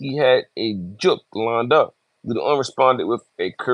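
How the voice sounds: A natural reading voice with ordinary pitch variation is heard against a quiet background.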